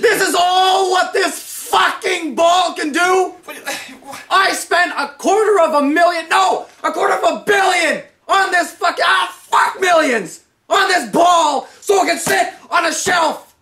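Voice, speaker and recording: A put-on character voice shouts at an extremely high pitch. The pace is very slow. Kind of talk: comic overacting. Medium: comedy sketch. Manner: furious, yelling, profane, self-centered.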